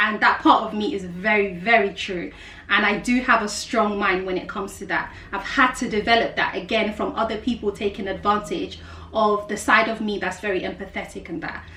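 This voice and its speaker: In a South London accent, a woman speaks fairly quickly at a medium pitch with ordinary pitch variation, with noticeable background noise and audible room echo. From South London, England. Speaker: life coach and YouTuber. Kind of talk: casual vlog monologue.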